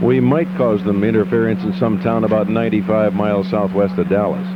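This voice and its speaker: This man talks over noticeable background noise. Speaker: radio station general manager. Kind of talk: casual speech about station history.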